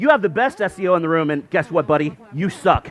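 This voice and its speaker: The speech has an animated tone, with noticeable background noise behind it. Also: man. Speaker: SEO conference speaker. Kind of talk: conference talk. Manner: fast.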